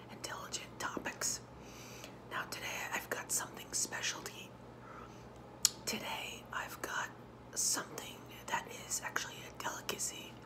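Whispering, a woman speaks at a fairly slow pace with long, frequent pauses. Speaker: ASMR vlogger. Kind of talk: ASMR eating video, casual talk to camera. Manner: whispered, soft-spoken. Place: home room. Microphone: phone near.

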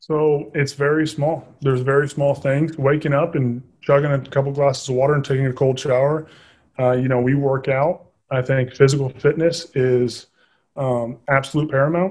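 This man has an American accent and a fairly high pitch, somewhat breathy, with monotone, flat intonation. He keeps a moderate pace against a quiet background. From Southern Indiana; Indiana. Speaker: army officer and real estate investor; podcast guest. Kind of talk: interview. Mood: earnest, grateful. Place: home room. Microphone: video call.

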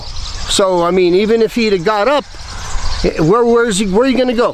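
The pitch swings very widely. The sound is dry with no echo, over light background noise. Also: man. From United States. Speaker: missionary preacher. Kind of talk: sermon. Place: waterside. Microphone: phone near.

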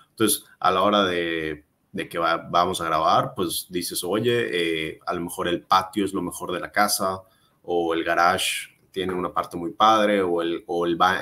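A man speaks at a very deep, low pitch with a bright, sharp tone. His pace is fairly slow and his intonation fairly even. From Mérida, Yucatán, Mexico; Yucatán, Mexico. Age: 20s. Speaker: real estate agent and content creator; content creator. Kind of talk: casual interview. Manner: hesitant, many fillers. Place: home room.

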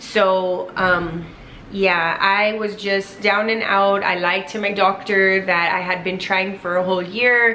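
Very slow, monotone speech with flat intonation and light background noise. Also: woman. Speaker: vlogger. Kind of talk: casual vlog chat. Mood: earnest, grateful. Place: home room. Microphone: camera far.

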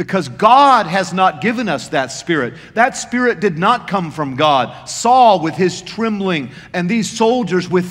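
Lively intonation marks this unforced reading voice.

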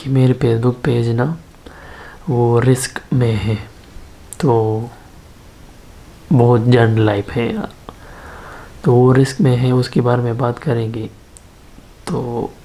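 A very slow male voice with fairly even intonation and long, frequent pauses. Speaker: vlogger. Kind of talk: casual vlog chat. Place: home room. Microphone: phone near.

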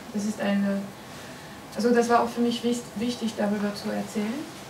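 A woman's fairly high voice in a French accent, monotone and flat, with noticeable background noise. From France. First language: French (speaking German). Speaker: comics writer. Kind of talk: interview at a festival talk. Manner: halting, many fillers. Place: meeting room. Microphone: camera far.

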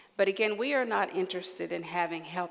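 With an American accent, a woman speaks in a fairly low pitch with vocal fry and fairly even intonation. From West Virginia. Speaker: psychiatrist and medical association leader; keynote speaker. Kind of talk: award acceptance speech. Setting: stage with audience. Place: hall. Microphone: podium.

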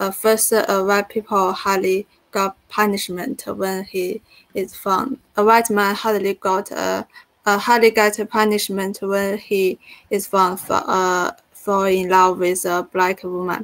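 A woman with a Chinese accent at a very slow pace, monotone and flat, the sound dry and close with no echo. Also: medium pitch for a woman. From China. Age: 20s. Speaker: graduate student. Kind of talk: seminar discussion. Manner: halting.

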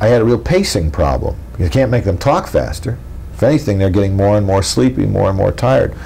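This man's voice sits at a fairly low pitch. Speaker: interviewee. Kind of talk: interview answer. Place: home room.

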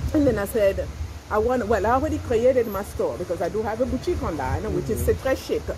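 Against noticeable background noise, a woman speaks at a very fast pace. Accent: French. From Congo, raised partly in France. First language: French. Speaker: fashion boutique owner and YouTuber. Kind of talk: casual chat. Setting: restaurant. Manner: animated, laughs often. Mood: relaxed, cheerful. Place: cafe. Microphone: phone near.

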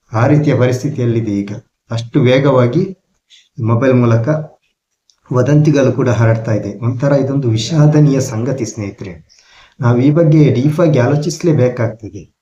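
A man with a dark, mellow tone sounds somewhat breathy, his medium pitch showing ordinary variation. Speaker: vlogger. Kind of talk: talking-head monologue.

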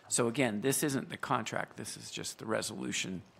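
There is vocal fry in this man's voice, which has ordinary pitch variation. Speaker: council chair. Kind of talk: meeting procedure and explanation. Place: hall. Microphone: podium.

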